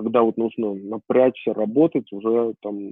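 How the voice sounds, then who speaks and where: With an ordinary speaking voice, a man talks at a fairly slow pace, his fairly low pitch holding a fairly even intonation. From Armenia. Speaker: IT company founder, programmer. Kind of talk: interview.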